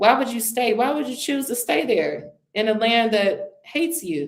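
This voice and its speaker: An animated tone in an American accent, with very wide pitch swings and vocal fry. The pace is fairly slow. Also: woman. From United States. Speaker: interview guest, travel entrepreneur. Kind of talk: casual interview. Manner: emphatic, animated.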